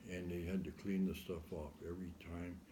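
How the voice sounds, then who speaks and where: With an American accent, a man speaks in a very deep, low voice that is somewhat breathy and dark, mellow in tone, with audible room echo. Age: 70s. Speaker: interviewee recounting life story. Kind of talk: oral history interview.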